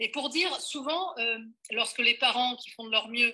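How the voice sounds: A bright, sharp tone comes through at a moderate pace. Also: woman.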